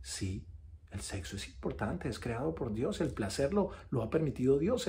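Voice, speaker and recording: Speaking at a fairly quick pace, the man's pitch swings very widely. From Colombia. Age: 40s. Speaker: actor giving faith testimony. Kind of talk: testimony. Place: home room. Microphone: phone near.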